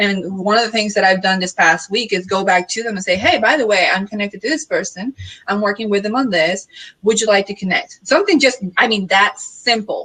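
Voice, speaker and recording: The voice carries a Puerto Rican accent. It moves at a fairly quick pace. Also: woman, medium pitch for a woman, ordinary pitch variation. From Puerto Rico. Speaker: marketing consultant. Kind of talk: casual panel discussion. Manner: direct.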